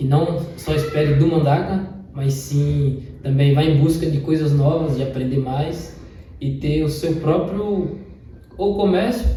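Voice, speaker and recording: Audible room echo and noticeable background noise surround a man speaking fairly slowly at a fairly high pitch. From Brazil, Palmeiras, Bahia. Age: 20s. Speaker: trekking guide. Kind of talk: interview.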